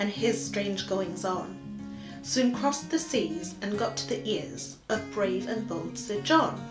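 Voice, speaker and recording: With music playing behind her, a woman in a Geordie accent speaks at a very slow pace. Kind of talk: poetry reading.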